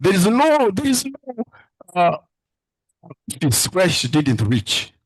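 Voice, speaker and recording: The man talks at a very slow pace with a somewhat breathy sound. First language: a Ugandan language. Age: 70s. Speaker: father-in-law of the candidate. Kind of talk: emotional thank-you speech. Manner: halting.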